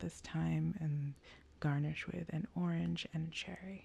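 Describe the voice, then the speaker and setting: The voice is soft-spoken. The pace is fairly slow. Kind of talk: ASMR cocktail-history talk, soft-spoken book walkthrough.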